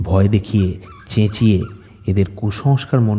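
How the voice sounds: Fairly even intonation in a natural reading voice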